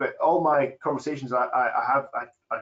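A man in a Scottish accent against a quiet background. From Scotland. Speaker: farmer. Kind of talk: webinar panel discussion. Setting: online webinar. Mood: relaxed, friendly. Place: office. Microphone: video call.

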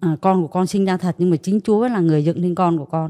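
A woman talks in a fairly low voice with a dark, mellow tone and ordinary pitch variation. The background is quiet. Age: 50s. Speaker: garment factory worker. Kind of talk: testimony. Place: studio. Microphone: handheld.

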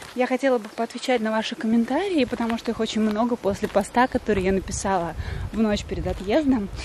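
Very fast speech with ordinary pitch variation, a dry sound with no echo and light background noise. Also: woman, fairly high pitch for a woman. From Yeysk, southern Russia. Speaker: Russian language teacher, vlogger. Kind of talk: casual vlog talk to camera. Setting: outdoors. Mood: relaxed, a bit hot. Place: garden. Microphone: phone near.

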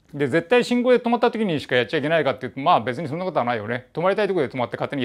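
A man is speaking. The background is quiet. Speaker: presenter. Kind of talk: casual tutorial talk. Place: workshop. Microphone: lapel.

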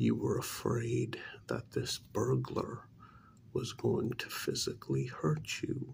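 Soft-spoken, with a gentle tone and a very slow pace, over light background noise. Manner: soft, gentle, reassuring ASMR speech.

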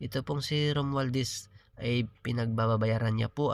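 A man's voice with ordinary pitch variation, on a very clean recording with a silent background. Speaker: political vlogger. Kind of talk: political commentary monologue. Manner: halting, with filler pauses.

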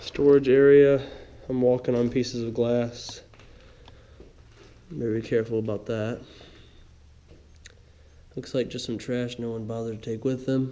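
Long, frequent pauses break up a man's monotone, flat delivery, which has a dark, mellow tone and a moderate pace. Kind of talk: casual vlog commentary. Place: home room. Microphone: phone near.

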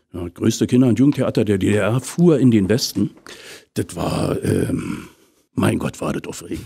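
Lively intonation carries a dark, mellow tone over a quiet background. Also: man. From Potsdam, eastern Germany; Germany. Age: 50s. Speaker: actor and voice actor; actor, voice actor. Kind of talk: casual interview. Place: studio.

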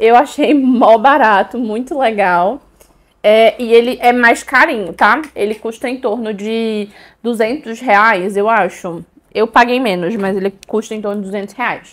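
At a fairly slow pace, a woman speaks in an animated tone with a fairly high pitch and ordinary pitch variation. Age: 20s. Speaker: beauty and perfume youtuber; perfume youtuber. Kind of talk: product haul video. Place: home room. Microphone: lapel.

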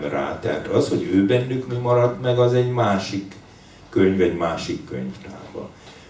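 Light background noise and audible room echo around a man's fairly slow speech. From Hungary. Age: 60s. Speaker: writer. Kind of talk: book launch conversation. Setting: bookshop with audience. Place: shop.

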